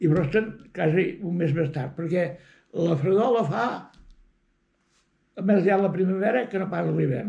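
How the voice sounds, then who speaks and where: The voice has a dark, mellow tone and moves at a very slow pace. Its pitch varies in an ordinary way, with long, frequent pauses. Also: man, high pitch for a man. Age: 80s+. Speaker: rural villager. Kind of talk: interview answer.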